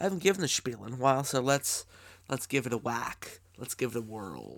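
With vocal fry, a man speaks at a medium pitch. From Canada. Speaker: podcast host. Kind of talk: casual interview. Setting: remote call.

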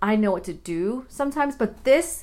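The recording is very clean, with a silent background. The speaker sounds animated, with lively intonation at a moderate pace. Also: woman. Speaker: podcast host. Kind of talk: casual monologue. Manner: rambling with tangents.

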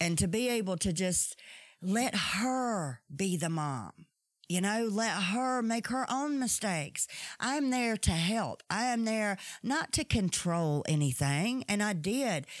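A woman at a very slow pace, medium pitch with very wide pitch swings, very even loudness, on a very clean recording with a silent background. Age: 40s. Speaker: solo podcast host in recovery from alcoholism. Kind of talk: personal monologue. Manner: halting, with many fillers and repetitions.

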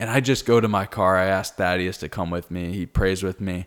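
A man's very deep, low voice at a fairly quick pace, fairly even in intonation, on a very clean recording with a silent background. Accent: American. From Naples, Florida. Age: 20s. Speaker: podcast co-host. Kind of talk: testimony.

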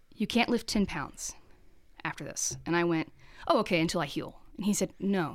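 A woman's voice of medium pitch, a plain, everyday voice, at a moderate pace with ordinary pitch variation. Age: 30s. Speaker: art teacher and printmaker. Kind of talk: casual interview chat.

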